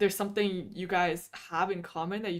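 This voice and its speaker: A woman speaks at a fairly quick pace in an ordinary speaking voice, her pitch medium, on a very clean recording with a silent background. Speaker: VTuber streamer. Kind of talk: casual livestream chat. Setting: livestream.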